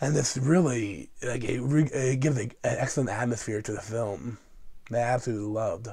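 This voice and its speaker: In a very clean recording with a silent background, a man speaks at medium pitch in a somewhat breathy, dark, mellow tone with ordinary pitch variation. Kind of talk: movie review talk to camera.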